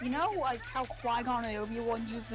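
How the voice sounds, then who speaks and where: Over background music and audible room echo, a woman with a fairly high voice speaks in a flat monotone at a moderate pace. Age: 20s. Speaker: gaming streamer. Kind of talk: casual chat. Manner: halting, many fillers.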